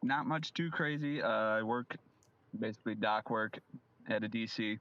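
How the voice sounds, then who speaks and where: With an American accent, a man in a plain, everyday voice talks at medium pitch and a moderate pace, his loudness very even and his pitch variation ordinary. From Illinois, US Midwest. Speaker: dock worker, fantasy football league member. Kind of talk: casual chat.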